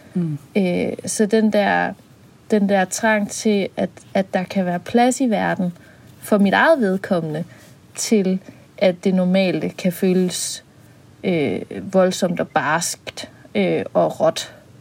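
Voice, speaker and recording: A very slow woman's voice at medium pitch, ordinary pitch variation throughout, broken by long, frequent pauses. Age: 30s. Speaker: podcast co-host, psychologist. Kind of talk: casual chat; scripted narration.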